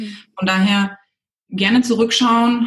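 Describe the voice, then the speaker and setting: This is a woman talking. Her pitch varies in an ordinary way. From southwest Germany, near Stuttgart. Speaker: cosmetics entrepreneur. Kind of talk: interview. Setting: video call. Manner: halting, many fillers.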